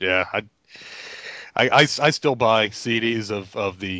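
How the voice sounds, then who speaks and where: A man is speaking. He has an American accent. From New York. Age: 30s. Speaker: comic book podcast panelist. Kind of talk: casual chat.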